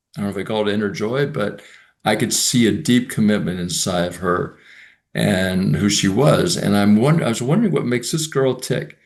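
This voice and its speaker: A man at a fairly low pitch with lively intonation, over a quiet background. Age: 60s. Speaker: mobility coaching student. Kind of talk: interview. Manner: halting, many fillers and repetitions.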